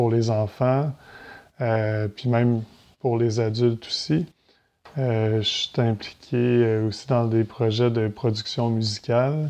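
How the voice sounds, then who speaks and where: In a Quebec accent, a man with a medium pitch and a dark, mellow tone speaks at a very slow pace with long, frequent pauses, very even loudness and fairly even intonation against a quiet background. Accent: Québécois French. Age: 30s. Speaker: entrepreneur and real estate investor. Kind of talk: podcast interview.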